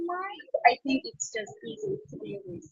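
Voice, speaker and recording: Music plays in the background as a woman speaks at a moderate pace with very wide pitch swings. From Azerbaijan. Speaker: expat interviewee. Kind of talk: interview. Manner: hesitant, many fillers.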